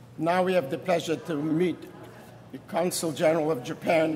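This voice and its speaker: Monotone, flat intonation is heard over noticeable background noise. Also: man. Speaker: Holocaust survivor. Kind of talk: speech at memorial event. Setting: synagogue event with audience.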